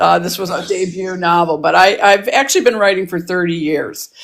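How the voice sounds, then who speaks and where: A woman speaks at a moderate pace. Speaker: novelist and clinical social worker. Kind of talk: interview. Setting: TikTok live video.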